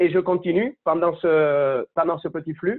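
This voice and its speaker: A man with a Spanish accent and ordinary pitch variation. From Spain. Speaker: conference speaker, consultant. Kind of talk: online lecture. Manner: fast.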